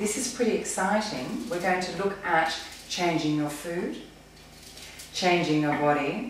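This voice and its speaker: A woman with an Australian accent and a fairly low pitch speaks at a fairly slow pace with lively intonation and long, frequent pauses, amid strong room echo and light background noise. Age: 40s. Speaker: personal trainer. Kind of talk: tutorial. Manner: casual. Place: kitchen. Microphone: camera far.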